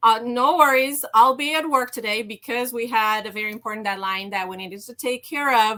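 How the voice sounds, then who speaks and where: A woman with a slight Romanian accent, a fairly high pitch, a bright, sharp tone and a moderate pace. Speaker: HR executive and burnout coach. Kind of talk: interview storytelling. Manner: hesitant, many fillers.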